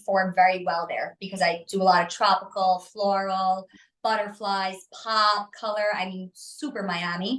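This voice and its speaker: A woman speaks with a New York accent at a medium pitch. Her intonation is fairly even. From New York City. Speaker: artist and designer. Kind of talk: interview. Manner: fast; assertive.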